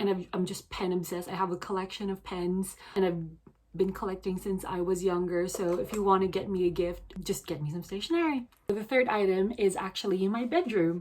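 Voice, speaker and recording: Delivered at a fairly quick pace with fairly even intonation, the speech comes through noticeable background noise. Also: woman, medium pitch for a woman. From Philippines (Cavite), moved to UK at 14. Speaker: vlogger. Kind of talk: casual vlog talk. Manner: casual, filler-heavy (so, um, actually).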